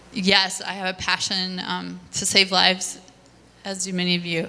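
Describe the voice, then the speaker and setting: A woman at medium pitch and moderate pace, with noticeable background noise. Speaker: nurse. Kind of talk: testimony. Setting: church stage with audience.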